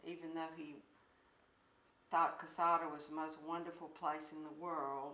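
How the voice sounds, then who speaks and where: Audible room echo surrounds a woman speaking in a very deep, low voice. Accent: Alabama. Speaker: grandmother. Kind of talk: interview.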